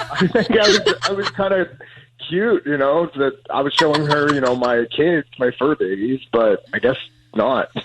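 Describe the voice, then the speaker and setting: A man's normal speaking voice, fairly high in pitch, with lively intonation, a moderate pace and a dry, close sound with no echo. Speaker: caller. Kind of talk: casual chat. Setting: phone call.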